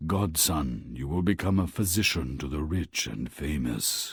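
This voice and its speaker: A man's put-on character voice at a very deep, low pitch. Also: moderate pace, very clean recording, silent background. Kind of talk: video game character dialogue.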